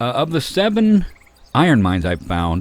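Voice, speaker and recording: A man is speaking. His pitch swings very widely. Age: 60s. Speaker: gaming youtuber. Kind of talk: gameplay tutorial. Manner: casual, halting with fillers.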